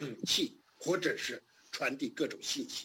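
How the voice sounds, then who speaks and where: A man with a high pitch and a bright, sharp tone speaks at a fairly slow pace, his pitch swinging very widely. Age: 60s. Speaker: democracy activist. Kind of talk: interview.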